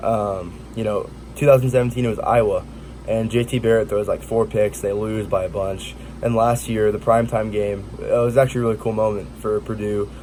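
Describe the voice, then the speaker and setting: Someone talks at a fairly quick pace with an American accent. There is noticeable background noise. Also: man. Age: young. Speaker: college football YouTuber. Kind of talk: casual sports commentary. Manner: halting, stuttering.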